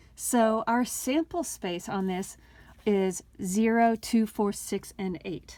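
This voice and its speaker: On a very clean recording with a silent background, a woman speaks at a very slow pace with a fairly high pitch, ordinary pitch variation and a dark, mellow tone. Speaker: math teacher. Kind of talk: tutorial. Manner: casual.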